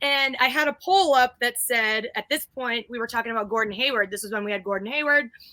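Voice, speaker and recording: Loud and animated, a woman talks very fast in a high pitch with a bright, sharp tone and ordinary pitch variation. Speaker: guest co-host of a basketball fan livestream. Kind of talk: casual chat. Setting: live stream. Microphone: new mic after complaints about her mic.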